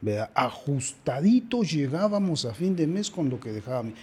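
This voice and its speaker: Somewhat breathy and dark, mellow in tone, a man talks at a moderate pace with very wide pitch swings. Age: 60s. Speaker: father of the host. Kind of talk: interview.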